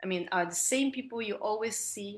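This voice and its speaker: This woman talks at a moderate pace. She speaks with an Italian accent. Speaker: film director. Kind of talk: interview Q&A. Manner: halting.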